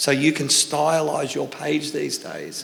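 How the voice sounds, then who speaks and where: A man with an Australian accent at a fairly slow pace, amid noticeable background noise. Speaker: tattoo artist and shop owner. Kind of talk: panel talk at a seminar. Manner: casual, rambling.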